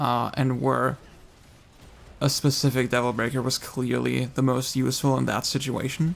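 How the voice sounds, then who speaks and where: Someone mumbles at a moderate pace. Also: man. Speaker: gaming video creator. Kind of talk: casual talk to camera. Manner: mumbly, hesitant.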